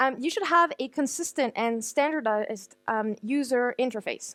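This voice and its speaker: A woman's high-pitched voice, dry and close with no echo, over a quiet background. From France. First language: French. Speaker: conference speaker, digital marketer. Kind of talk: conference talk. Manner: fast.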